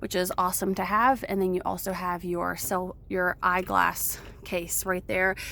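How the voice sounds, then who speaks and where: Against noticeable background noise, a woman speaks at a medium pitch and a fairly slow pace with fairly even intonation. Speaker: car salesperson. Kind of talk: vehicle walk-around demo. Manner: casual with fillers.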